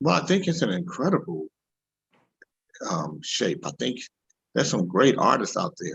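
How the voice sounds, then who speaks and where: The voice has vocal fry and very wide pitch swings, broken up by long, frequent pauses. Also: man, medium pitch for a man, moderate pace. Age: 60s. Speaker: singer and producer. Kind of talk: interview. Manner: halting.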